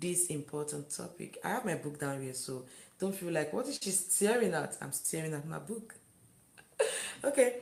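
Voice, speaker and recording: Talking at a fairly quick pace, a woman with a fairly low pitch and vocal fry uses lively intonation. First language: not English. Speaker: live-stream vlogger. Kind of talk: live stream chat with viewers.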